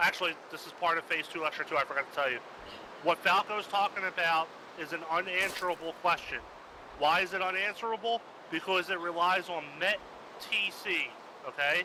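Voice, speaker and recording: Over noticeable background noise, a high-pitched man talks at a fairly quick pace with ordinary pitch variation. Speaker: military training instructor in a game. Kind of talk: instructional briefing. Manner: fast.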